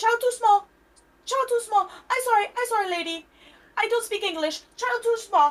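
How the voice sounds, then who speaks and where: In a squeaky put-on character voice with an East Asian accent as part of the act, the speaker goes extremely high in pitch at a moderate pace, with long, frequent pauses. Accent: exaggerated fake East Asian. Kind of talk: broken English, curt.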